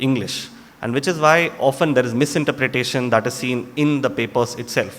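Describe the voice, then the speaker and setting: Over noticeable background noise, a man speaks at medium pitch with a Tamil accent. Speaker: doctor. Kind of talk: lecture.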